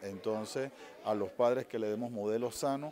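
A man speaks in a plain, everyday voice at medium pitch. His pace is moderate, with light background noise behind him. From Panama. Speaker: psychologist; interviewee. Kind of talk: interview. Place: hall. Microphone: handheld.

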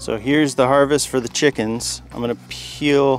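A man is heard with clear music in the background, the sound dry with no echo. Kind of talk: casual vlog chat. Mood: relaxed, amused. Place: garden.

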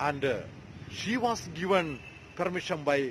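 A man's voice with very wide pitch swings over light background noise. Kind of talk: sermon. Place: street. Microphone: phone near.

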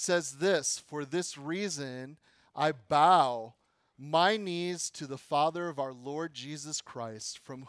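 A man speaks at a very slow pace with ordinary pitch variation. The sound is dry with no echo, and the background is quiet. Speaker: pastor teaching a class. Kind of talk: lecture. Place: studio.

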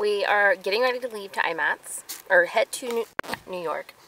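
Noticeable background noise is present. Through it, a woman talks. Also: dry sound with no echo. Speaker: vlogger. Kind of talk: casual vlog chat. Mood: cheerful, excited. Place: car. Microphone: phone near.

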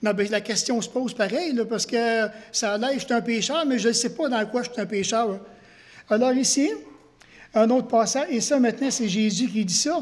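A man talks in an extremely high pitch with ordinary pitch variation. His pace is moderate. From Quebec. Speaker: pastor. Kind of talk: sermon. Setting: church. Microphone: headset.

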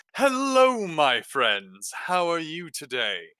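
Putting on a loud character voice, a man speaks very slowly at a high pitch with very wide pitch swings. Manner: boisterous, friendly, open.

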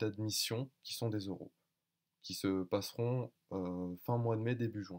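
Against a quiet background, a man with a fairly low pitch talks at a fairly slow pace with fairly even intonation. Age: 20s. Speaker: master's applicant. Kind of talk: video application presentation; self-presentation video. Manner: halting, many hesitations. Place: home room. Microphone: webcam.

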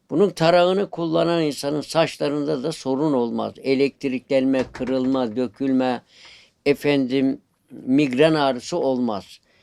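Speaking at a very slow pace, a man uses a fairly high pitch with ordinary variation. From Sakarya, Turkey. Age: 70s. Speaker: spoon carver. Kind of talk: interview.

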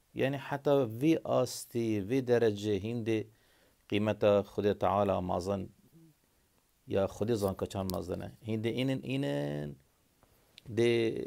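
A fairly low-pitched male voice with a Kurdish accent, dark and mellow in tone, lively in intonation, at a fairly slow pace with long, frequent pauses. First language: Kurdish (speaking Arabic). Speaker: video blogger. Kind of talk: monologue to camera. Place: home room. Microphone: phone near.

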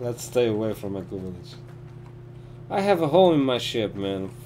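A man's voice at a moderate pace, marked by very wide pitch swings and long, frequent pauses, with light background noise. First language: not English. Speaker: gaming streamer. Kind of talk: live gameplay commentary and casual chat. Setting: live stream with online voice chat. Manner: halting. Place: home room.

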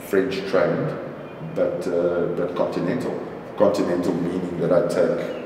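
A man talks at a fairly slow pace, with audible room echo and light background noise. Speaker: interviewee. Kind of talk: interview answer. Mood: relaxed, reflective.

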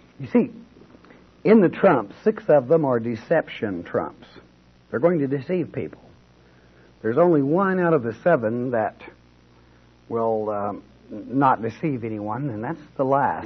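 Speaking at a fairly slow pace with long, frequent pauses, a man uses a medium pitch, a somewhat breathy voice, and very wide swings in pitch. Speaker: pastor. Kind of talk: informal bible teaching. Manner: informal, conversational.

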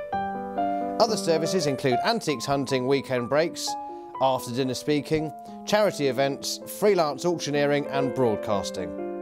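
A man at a moderate pace with very wide pitch swings and very even loudness, music in the background. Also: medium pitch for a man. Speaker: auctioneer and valuer. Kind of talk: corporate narration, promotional talk to camera.

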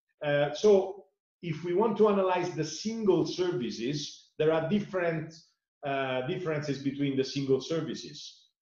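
Audible room echo surrounds a man with an Italian accent who talks at a moderate pace with ordinary pitch variation over a quiet background. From Italy. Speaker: sustainability foundation director; interviewee. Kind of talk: interview. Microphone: webcam.

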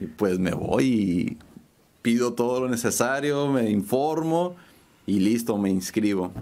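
A man speaks with lively intonation. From Mexico City, raised in Tijuana. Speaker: painter and muralist; guest. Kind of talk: interview. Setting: studio. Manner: halting, many repetitions and fillers. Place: studio. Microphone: studio mic.

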